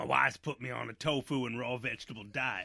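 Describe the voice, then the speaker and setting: Putting on a raspy character voice, a man talks at a fairly quick pace with a medium pitch. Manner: comic, put-on.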